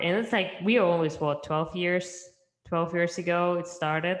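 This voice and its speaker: This woman has a Russian accent and a fairly low pitch. Her intonation is fairly even. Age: young. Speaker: entrepreneur. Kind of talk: interview.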